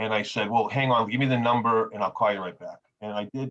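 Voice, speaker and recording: In an American accent, a man speaks very fast at medium pitch with fairly even intonation. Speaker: grants director presenting to advisory group. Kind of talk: presentation. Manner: halting with many fillers.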